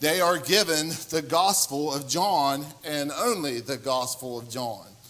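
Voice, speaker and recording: Noticeable background noise runs beneath this man's voice. He speaks at a fairly slow pace with a fairly high pitch and ordinary pitch variation. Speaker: preacher. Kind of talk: sermon. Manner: loud.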